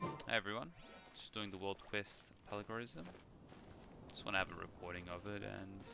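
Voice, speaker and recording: Music plays in the background as a man with a fairly low pitch talks at a moderate pace with ordinary pitch variation. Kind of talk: casual gameplay commentary.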